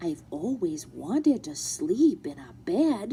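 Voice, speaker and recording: A female-sounding, put-on character voice, fairly high in pitch, swings very widely up and down at a fairly slow pace. Background noise is clearly audible. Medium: read story. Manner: wondering, innocent.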